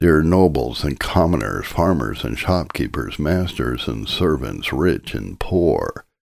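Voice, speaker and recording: A man with a very deep, low voice and vocal fry speaks at a fairly slow pace in a solemn tone with lively intonation, on a very clean recording with a silent background. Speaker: audiobook narrator reading a sermon. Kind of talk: scripted sermon reading, an old Puritan-style sermon read aloud as audiobook narration. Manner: earnest, solemn and urgent, pleading directly with the listener; formal, rhetorical, with repeated questions.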